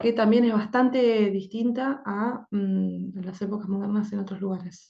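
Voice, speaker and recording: A woman with an Argentine accent speaks at a fairly slow pace, her medium-pitched voice dark and mellow, somewhat breathy, with fairly even intonation. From Argentina. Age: 30s. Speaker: language teacher. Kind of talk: lecture. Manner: halting, with frequent fillers.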